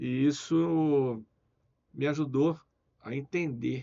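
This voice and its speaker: A man's voice with ordinary pitch variation. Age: 60s. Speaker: businessman. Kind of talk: interview.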